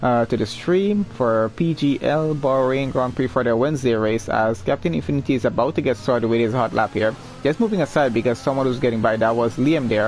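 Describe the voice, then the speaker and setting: Against music in the background, a man speaks at a fairly quick pace with hardly any pauses, very even loudness and ordinary pitch variation. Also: medium pitch for a man. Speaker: esports race streamer and commentator. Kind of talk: live commentary. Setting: live stream. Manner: stumbles when excited.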